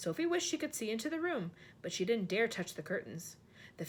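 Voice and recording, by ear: Natural-voiced reading aloud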